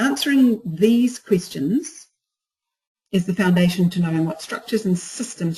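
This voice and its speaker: A somewhat breathy woman with a dark, mellow tone and lively intonation. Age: 60s. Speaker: business coach. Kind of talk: webinar presentation. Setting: online webinar.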